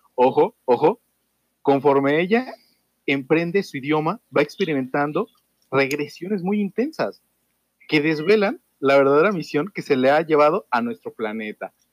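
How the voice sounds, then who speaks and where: A man with a normal speaking voice and a fairly high pitch talks at a fairly slow pace, the sound dry and close with no echo. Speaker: podcast host. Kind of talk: reading aloud; casual chat.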